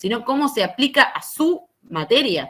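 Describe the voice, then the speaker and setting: A woman is speaking. Her pace is very slow. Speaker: university lecturer. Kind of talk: lecture.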